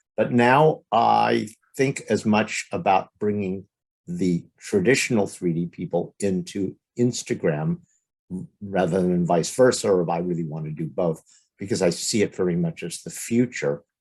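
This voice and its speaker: With an American accent, a man speaks in a very deep, low pitch with lively intonation. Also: moderate pace. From Los Angeles, US West Coast. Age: 60s. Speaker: stereoscopic photographer. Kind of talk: podcast interview.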